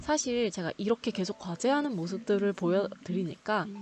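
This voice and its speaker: In a plain, everyday voice, a woman talks at a moderate pace and medium pitch with lively intonation. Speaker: graduate student vlogger. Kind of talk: vlog narration.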